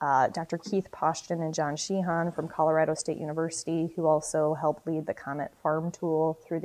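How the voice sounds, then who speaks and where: A dark, mellow tone in an Upper Midwest accent, at a moderate pace with hardly any pauses and a monotone, flat intonation. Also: woman. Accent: Upper Midwest American. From South Dakota. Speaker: marketing and sustainability manager. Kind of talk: podcast interview.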